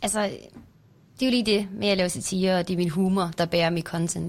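Talking at a very fast pace, a woman with a fairly low pitch keeps her intonation fairly even. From near Randers, Jutland, Denmark. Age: 20s. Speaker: TikToker.

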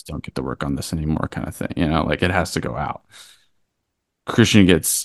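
A man's very deep, low voice with vocal fry. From Kentucky. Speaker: documentary director. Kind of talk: interview.

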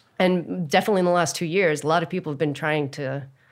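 Speaking fairly quickly with fairly even intonation, a woman with an American accent comes through in a very clean recording with a silent background. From Texas. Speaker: documentary filmmaker. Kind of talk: interview.

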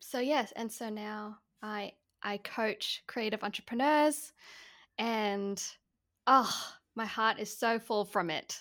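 Speaking very slowly with long, frequent pauses, a woman with a fairly high pitch and a bright, sharp tone shows ordinary pitch variation on a very clean recording with a silent background. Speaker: marketing and mindset coach. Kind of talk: casual interview chat.

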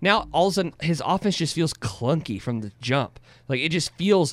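A man with a plain, everyday voice talks at a fairly quick pace, his pitch fairly high and his intonation lively. The recording is very clean, with a silent background. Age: 20s. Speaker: sports podcast co-host. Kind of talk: postgame sports talk show.

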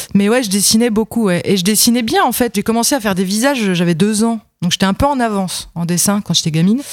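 A woman's fairly high voice with a slight Franche-Comté accent, very fast, very even in loudness, with ordinary pitch variation. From Franche-Comté, France. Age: 30s. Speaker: comic book author and illustrator. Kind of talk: casual chat.

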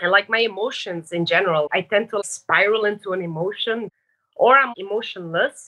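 Delivered at a moderate pace, a normal speaking voice carries ordinary pitch variation. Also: woman. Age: 20s. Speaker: caller. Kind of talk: advice call conversation.

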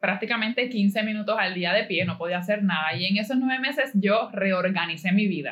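With a Puerto Rican accent, a woman speaks at a medium pitch with lively intonation. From Puerto Rico (Caguas). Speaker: entrepreneur. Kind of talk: interview.

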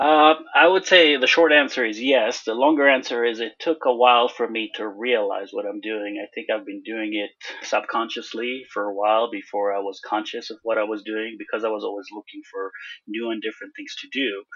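A man with a medium pitch speaks at a fairly quick pace, his volume swinging widely. Noticeable background noise is present. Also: ordinary pitch variation. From Israel. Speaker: landscape photographer. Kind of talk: interview. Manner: halting.

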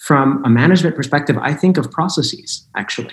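A man talks at a moderate pace with lively intonation. His voice is somewhat breathy. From Chicago, US Midwest. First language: Spanish. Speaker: general manager and panelist. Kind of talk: panel discussion.

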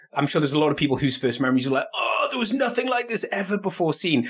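A man speaks with very wide pitch swings while noticeable background noise runs underneath. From Scotland.

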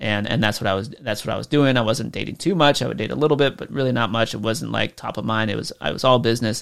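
A man talks very fast at medium pitch with vocal fry and hardly any pauses. His pitch varies in an ordinary way, and the recording is very clean, with a silent background. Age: 30s. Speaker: podcast host, online business coach. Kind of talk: casual solo podcast talk. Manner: animated.

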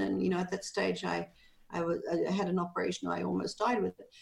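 Fairly quick speech from a woman over noticeable background noise. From Australia. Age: 60s. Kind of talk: interview, personal storytelling.

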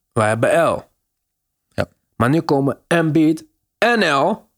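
A man's speech, with ordinary pitch variation, comes through on a very clean recording with a silent background. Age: middle-aged. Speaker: basketball podcast host. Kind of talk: casual chat.

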